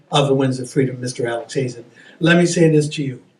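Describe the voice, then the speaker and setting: A man's voice with lively intonation. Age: 70s. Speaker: event host. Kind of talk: speech to an audience.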